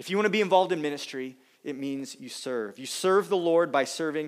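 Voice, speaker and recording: A man speaks with lively intonation at a high pitch. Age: 30s. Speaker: pastor. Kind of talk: sermon. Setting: church.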